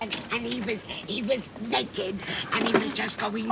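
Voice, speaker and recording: A woman puts on a character voice at a medium pitch and a moderate pace. Loud background noise runs underneath. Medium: short film. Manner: breathless, halting.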